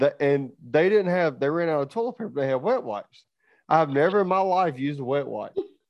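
A man with a Southern US accent speaks with lively intonation. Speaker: farmer. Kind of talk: casual chat. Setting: studio.

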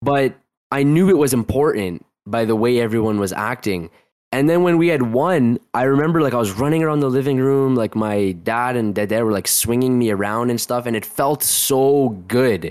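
The recording is very clean with a silent background. A man with an unremarkable speaking voice talks at a moderate pace and medium pitch with ordinary pitch variation. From Toronto, Canada. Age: 20s. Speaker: football coach. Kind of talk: casual chat.

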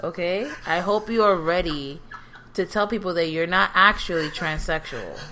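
An American accent at a moderate pace, with ordinary pitch variation and noticeable background noise. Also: woman, fairly low pitch for a woman. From New York. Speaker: podcast co-host. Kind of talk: casual chat. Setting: home recording at kitchen table. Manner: loud.

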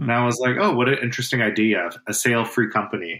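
A man talks at a fairly quick pace with a bright, sharp tone. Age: 30s. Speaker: podcast co-host. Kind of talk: casual chat. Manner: halting.

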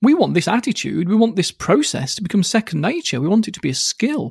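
A man with a British accent talks at a fairly quick pace in a high voice. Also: dry, close sound with no echo. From UK. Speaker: hypnotherapist and author. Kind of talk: casual interview chat. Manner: fast, bouncy, animated; fast talker.

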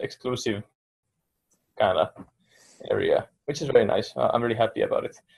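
A fairly quick pace in a Finnish accent. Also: man. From Finland. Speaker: meditation meetup participant. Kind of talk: casual group discussion.

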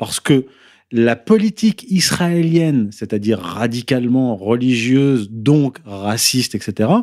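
Very slowly, a man with a dark, mellow tone speaks with very wide pitch swings in a dry, close sound with no echo. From France. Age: 30s. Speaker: essayist and author. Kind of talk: interview.

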